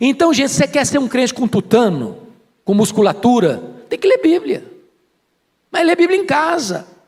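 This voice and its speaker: Animated in tone, a man speaks at an extremely high pitch with very wide pitch swings, a moderate pace, and long, frequent pauses. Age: 60s. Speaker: pastor. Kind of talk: sermon.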